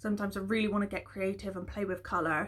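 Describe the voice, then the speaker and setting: With vocal fry and monotone, flat intonation, a woman talks very fast at a medium pitch on a very clean recording with a silent background. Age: 20s. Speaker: vlogger and hairdresser. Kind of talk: casual chat. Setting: home, in her room.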